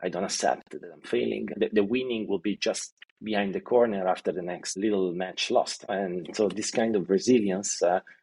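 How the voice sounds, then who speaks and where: The speaker is a man with a fairly low pitch. He talks at a moderate pace, with ordinary pitch variation. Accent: Italian. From Italy, Milan area. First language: Italian. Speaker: e-commerce executive. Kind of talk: interview. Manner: halting, many fillers and repetitions.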